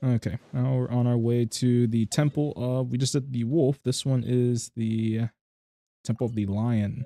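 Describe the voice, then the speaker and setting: In a dry, close sound with no echo, a man speaks at a fairly slow pace with a dark, mellow tone, fairly even intonation and long, frequent pauses. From United States. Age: 20s. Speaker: streamer. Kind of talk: game livestream commentary. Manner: monotone.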